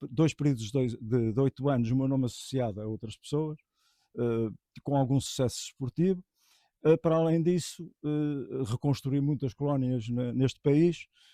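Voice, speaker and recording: A man's medium-pitched voice, dark and mellow, with dry, close sound and no echo, a moderate pace and ordinary pitch variation. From Portugal, Aveiro district. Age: 60s. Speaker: pigeon racing expert. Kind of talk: interview monologue. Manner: halting, many fillers.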